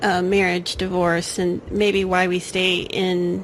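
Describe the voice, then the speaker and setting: A woman speaks with an American accent in a monotone, flat intonation. There is audible room echo and noticeable background noise. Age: 40s. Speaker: podcast host. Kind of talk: casual chat.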